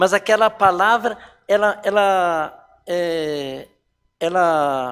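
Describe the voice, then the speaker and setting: At a very slow pace, a man with a high pitch speaks in a very clean recording with a silent background. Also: ordinary pitch variation. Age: 60s. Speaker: church elder giving life testimony. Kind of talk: testimony.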